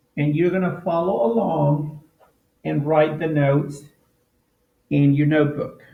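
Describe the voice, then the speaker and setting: Audible room echo surrounds a man with a fairly high pitch and fairly even intonation. He speaks at a fairly slow pace, with long, frequent pauses. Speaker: teacher. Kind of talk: tutorial.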